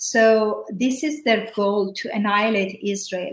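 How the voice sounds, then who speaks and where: Noticeable background noise sits behind a woman speaking at a fairly high pitch. She goes at a fairly slow pace with fairly even intonation. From Iran. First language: Persian. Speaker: former prisoner and evangelist. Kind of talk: interview testimony.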